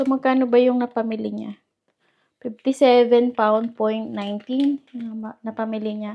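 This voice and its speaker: A soft-spoken woman talks at a fairly slow pace, fairly high in pitch yet dark and mellow in tone. Her intonation is monotone and flat. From Philippines. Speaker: vlogger. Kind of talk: casual vlog chat. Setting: at home. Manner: soft-spoken, speaking quietly.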